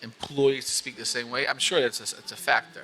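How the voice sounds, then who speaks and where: A man with a medium-pitched voice and ordinary pitch variation talks against noticeable background noise. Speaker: interviewer and magazine writer. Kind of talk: interview. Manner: fast; animated.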